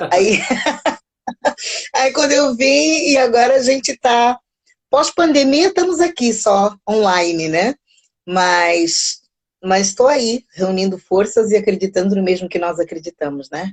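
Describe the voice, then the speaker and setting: In a Brazilian accent, a woman speaks at a fairly slow pace with very wide pitch swings and long, frequent pauses, in a dry, close sound with no echo. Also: fairly high pitch for a woman. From Mozambique, raised largely in Brazil. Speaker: psychologist and music teacher. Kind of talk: casual interview. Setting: online live stream.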